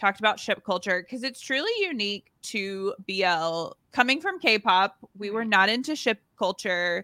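With an American accent, a woman speaks at a fairly slow pace in a fairly high pitch, her bright, sharp tone and lively intonation caught in a dry, close sound with no echo. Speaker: podcast co-host. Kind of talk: casual interview chat.

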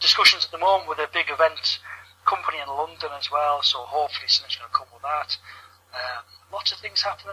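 Over noticeable background noise, a man talks at a very fast pace with big swings in loudness. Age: 30s. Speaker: wrestling gaming venue founder. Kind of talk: casual chat. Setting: online call.

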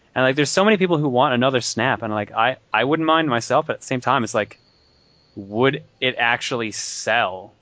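With lively intonation and a fairly quick pace, a man talks in an ordinary speaking voice at medium pitch. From Newfoundland, Canada. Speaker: podcast co-host. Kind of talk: casual chat.

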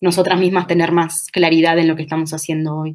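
Speaking fairly quickly, a woman uses a fairly low pitch. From Uruguay, Durazno. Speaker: feminist researcher and university lecturer. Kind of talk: interview.

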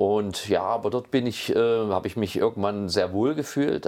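Against a quiet background, a man speaks at a fairly low pitch and moderate pace with ordinary pitch variation. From Saxony, Meißen. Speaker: wine industry executive. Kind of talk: interview. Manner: halting, many fillers.

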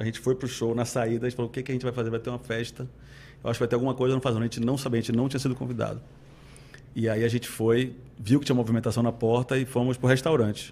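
A medium-pitched man talking at a very fast pace. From Salvador, Bahia, Brazil. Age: 40s. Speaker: city culture and tourism secretary. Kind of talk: interview.

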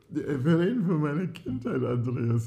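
Heard with audible room echo, a man speaks in a somewhat breathy voice. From US, California (San Diego). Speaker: podcast co-host. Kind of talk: casual chat. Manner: halting.

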